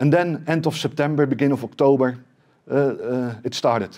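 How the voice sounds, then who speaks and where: Against a quiet background, a man speaks with a Dutch accent. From Netherlands. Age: 40s. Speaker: tech company CEO; presenter. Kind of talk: conference talk. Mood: serious, emotional story. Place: meeting room. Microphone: headset.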